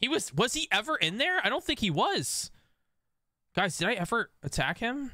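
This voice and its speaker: A man speaks at a moderate pace, his pitch swinging very widely. His tone is bright and sharp, the sound dry with no echo against a quiet background. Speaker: gaming streamer. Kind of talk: casual chat. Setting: live stream. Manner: animated; joking. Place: home room. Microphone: studio mic.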